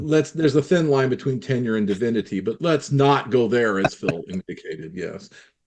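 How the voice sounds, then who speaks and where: Using a normal speaking voice at medium pitch, a man talks with lively intonation and hardly any pauses. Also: fairly quick pace. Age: 60s. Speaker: clarinet teacher, former professor. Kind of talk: casual group discussion.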